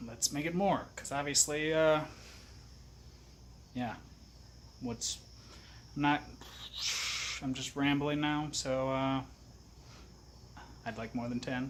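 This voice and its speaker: Mumbling in an American accent, a man at medium pitch talks at a fairly slow pace with fairly even intonation and long, frequent pauses. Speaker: outdoors vlogger. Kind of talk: casual vlog talk to camera. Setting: outdoors, then at home. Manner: hesitant, low-energy.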